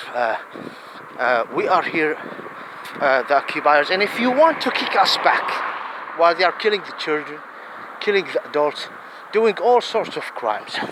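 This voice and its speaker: Over noticeable background noise, a man with a high pitch speaks with very wide pitch swings and long, frequent pauses. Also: moderate pace. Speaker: religious-political video commentator. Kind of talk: impassioned monologue. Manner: halting; animated.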